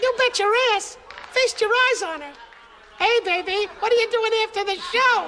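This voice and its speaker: Extremely high in pitch, this voice moves at a moderate pace with long, frequent pauses. Background noise comes through clearly. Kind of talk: old-time nightclub comedy. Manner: brash, leering, fast-talking.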